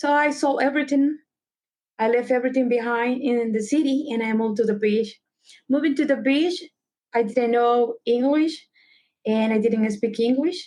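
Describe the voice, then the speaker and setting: With a Salvadoran accent, a woman speaks in a high pitch with a dark, mellow tone and ordinary pitch variation. Her loudness stays very even at a moderate pace. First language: Spanish. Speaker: travel concierge. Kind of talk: podcast interview.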